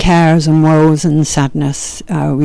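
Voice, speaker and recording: Speaking very slowly with a Yorkshire accent, a woman has a very deep, low voice with a gentle, dark, mellow tone and fairly even intonation. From Yorkshire, northern England. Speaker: yoga and meditation teacher. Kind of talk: spoken introduction to meditation practices. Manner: gentle, hesitant with fillers.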